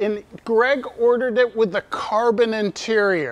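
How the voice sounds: A man talks at a slow pace in a high voice.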